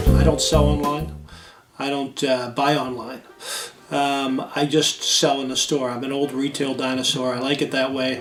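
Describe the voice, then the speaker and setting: Music plays in the background as a man speaks. His intonation is monotone and flat, at a moderate pace. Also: medium pitch for a man. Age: 60s. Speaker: comic book store owner. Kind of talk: interview. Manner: hesitant, many fillers.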